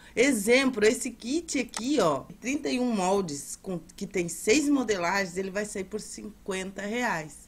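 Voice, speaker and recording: A woman's somewhat breathy voice at medium pitch, with lively intonation and hardly any pauses. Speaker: seller. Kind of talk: sales pitch. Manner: repeats urgent calls to act.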